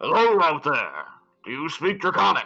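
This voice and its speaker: A loud, put-on character voice from a man, high-pitched for a man, at a moderate pace. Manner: manly, loud, calling out.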